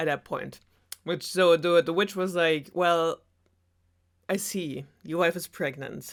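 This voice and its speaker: A woman with a German accent, fairly low in pitch and fairly slow, on a very clean recording with a silent background. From Germany. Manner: sarcastic.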